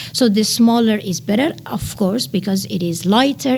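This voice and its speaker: With a Persian accent, a woman talks at a fairly slow pace in a fairly high pitch with very wide pitch swings, against noticeable background noise. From Iran. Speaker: nanotechnology researcher. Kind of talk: podcast interview. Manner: hesitant, with many fillers.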